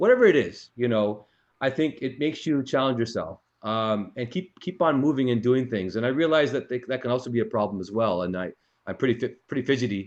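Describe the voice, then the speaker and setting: In a quiet setting, a man talks at a fairly quick pace. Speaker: eye surgeon hosting Q&A with fellows. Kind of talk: casual Q&A discussion. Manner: fast; halting, slightly slurred.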